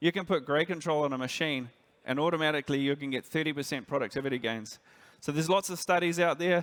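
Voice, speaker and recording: With a New Zealand accent, a man speaks at a very fast pace with a fairly high pitch and ordinary pitch variation. The recording is very clean with a silent background. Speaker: industry director. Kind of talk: conference presentation.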